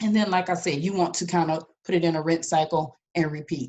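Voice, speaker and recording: A woman speaks in an ordinary speaking voice, fairly low in pitch, at a fairly quick pace with fairly even intonation. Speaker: business coach. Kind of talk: motivational talk.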